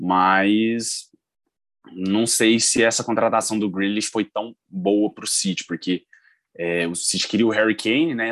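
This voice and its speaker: A man's fairly low-pitched voice, dry and close with no echo, against a quiet background. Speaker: football podcast co-host. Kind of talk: casual chat.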